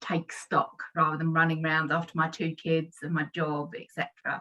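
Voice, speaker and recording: Her tone is bright and sharp, with a southern English accent. The woman speaks at a moderate pace and a fairly low pitch. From London/Surrey area, England. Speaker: personal development consultant. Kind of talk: casual self-introduction in online workshop.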